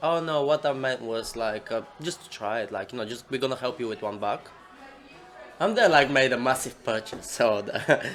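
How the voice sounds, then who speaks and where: A medium-pitched male voice at a moderate pace, with ordinary pitch variation and music in the background. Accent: Bulgarian. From Bulgaria. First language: Bulgarian. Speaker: coffee business owner. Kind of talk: casual interview chat. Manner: animated.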